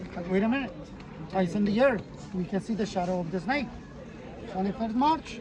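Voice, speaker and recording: Crowd noise fills the background as the speaker leaves long, frequent pauses. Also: fairly quick pace. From Yucatán, Mexico (Maya). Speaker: tour guide. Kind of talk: guided tour explanation. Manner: animated.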